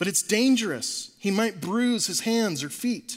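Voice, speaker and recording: Putting on a character voice, a man speaks at a high pitch and a moderate pace with lively intonation. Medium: read story.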